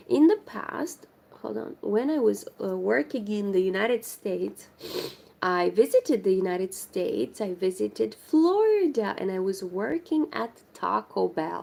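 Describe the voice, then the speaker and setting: The woman speaks with a Romanian accent. Her pace is fairly slow. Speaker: crochet livestreamer. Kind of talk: casual chat.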